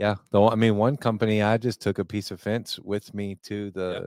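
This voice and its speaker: On a very clean recording with a silent background, a man talks at a moderate pace in a fairly low, monotone, flat voice, the sound dry and close with no echo. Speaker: podcast host. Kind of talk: casual chat. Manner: mellow, joking.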